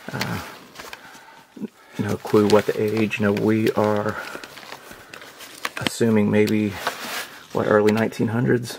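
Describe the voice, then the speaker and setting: Speaking at a fairly slow pace with long, frequent pauses, the voice comes through over noticeable background noise. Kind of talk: casual exploration commentary. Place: tunnel cave. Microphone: phone near.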